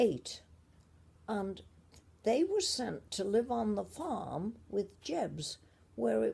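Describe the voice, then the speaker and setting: A woman with an English accent talks at a very slow pace. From Shropshire / Merseyside, England. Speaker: grandmother telling family history. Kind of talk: family memoir storytelling.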